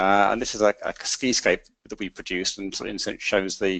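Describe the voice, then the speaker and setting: A man talks with a British accent. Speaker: energy industry consultant. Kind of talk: webinar presentation. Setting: online webinar. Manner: halting, many repetitions and fillers.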